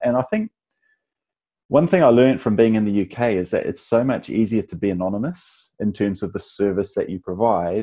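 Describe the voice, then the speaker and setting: The voice has a dark, mellow tone and a New Zealand accent, moving at a fairly quick pace. The recording is very clean, with a silent background. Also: man. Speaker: tech company founder and CEO. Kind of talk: interview. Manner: halting, many restarts and fillers.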